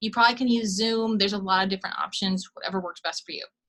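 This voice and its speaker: Her bright, sharp tone carries a fairly high pitch as this woman speaks. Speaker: college instructor. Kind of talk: lecture. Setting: screen-share video recording. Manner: fast.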